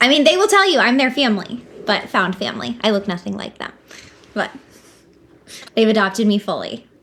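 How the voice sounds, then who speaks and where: A woman with an American accent and a fairly high voice, fairly quick and lively in intonation, over noticeable background noise. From Southern California. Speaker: business consultant, company founder. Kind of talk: casual interview chat.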